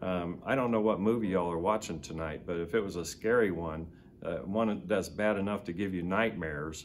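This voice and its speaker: With an American accent, a man with a very deep, low voice speaks at a fairly quick clip, his pitch varying in an ordinary way, and the room adds audible echo. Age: 60s. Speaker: war veteran. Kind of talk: testimony. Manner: halting.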